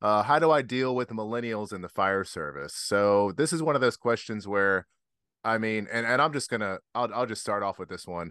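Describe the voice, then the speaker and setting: Against a quiet background, a man speaks at a moderate pace with a fairly low pitch and lively intonation. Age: 40s. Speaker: fire officer and podcast host. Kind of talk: casual chat. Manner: animated.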